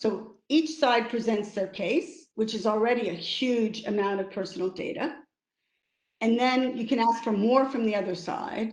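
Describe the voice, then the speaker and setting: Speaking with an American accent, a woman has an ordinary speaking voice, fairly high in pitch. Her pace is moderate and her pitch variation ordinary. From United States. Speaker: lawyer and arbitrator. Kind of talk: webinar talk.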